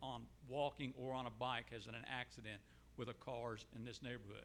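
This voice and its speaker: A man's medium-pitched voice, bright and sharp in tone, with vocal fry and a moderate pace. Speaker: resident. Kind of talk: public comment at town hall. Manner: loud.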